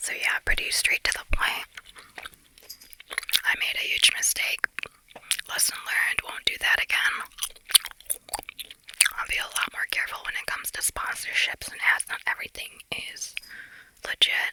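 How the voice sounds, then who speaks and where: A woman whispering, with big swings in loudness and long, frequent pauses, over noticeable background noise. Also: moderate pace, dry, close sound with no echo. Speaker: ASMR content creator. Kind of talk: casual talk to camera. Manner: chatty, conversational, chewing gum.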